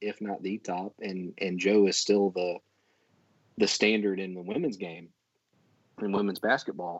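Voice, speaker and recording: A man with a plain, everyday voice, a fairly low pitch and a fairly slow pace. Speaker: Auburn football fan guest. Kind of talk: casual chat.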